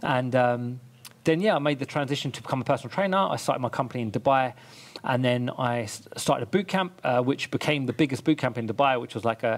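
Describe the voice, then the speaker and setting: A man's very fast delivery with ordinary pitch variation. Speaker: podcast guest, fitness trainer. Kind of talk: interview answer. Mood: upbeat, a bit amused. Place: home room. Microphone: headset.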